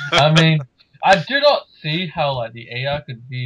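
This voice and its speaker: A man talks with an Australian accent. His pace is fairly slow. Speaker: podcast co-host. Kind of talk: casual chat.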